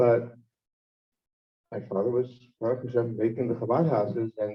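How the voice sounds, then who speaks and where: In an American accent, a man speaks at a medium pitch with a somewhat breathy voice. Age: 50s. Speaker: rabbi. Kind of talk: farbrengen storytelling talk. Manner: animated.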